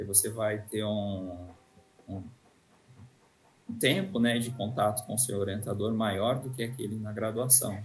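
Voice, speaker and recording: Music plays in the background, and audible room echo surrounds the voice. A man with a fairly low pitch speaks at a fairly slow pace in a monotone, flat intonation. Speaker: university professor. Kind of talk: interview. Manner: hesitant, many fillers.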